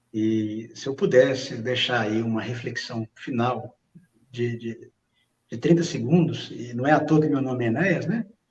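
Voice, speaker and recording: This is an unremarkable speaking voice, delivered at a fairly slow pace. It shows ordinary pitch variation and big swings in loudness. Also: man, medium pitch for a man. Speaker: pastor. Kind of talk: religious reflection. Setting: online livestream.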